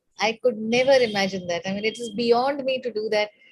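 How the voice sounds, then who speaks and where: A woman with a high pitch speaks at a fairly quick pace with ordinary pitch variation. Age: 60s. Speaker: meditation participant. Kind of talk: testimony.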